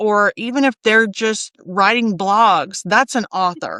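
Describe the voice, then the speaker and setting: With a South Alabama accent, a woman speaks at a fairly slow pace and medium pitch in a bright, sharp tone, her sound dry and close with no echo in a very clean recording with a silent background. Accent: Southern US (South Alabama). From US South (South Alabama). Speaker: copy editor and proofreader. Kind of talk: interview conversation.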